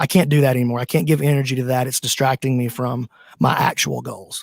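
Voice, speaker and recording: The speech carries a Southern US accent and ordinary pitch variation. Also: man, dry, close sound with no echo. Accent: Southern US country drawl. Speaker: jiu-jitsu gym owner and commentator. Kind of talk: casual interview chat.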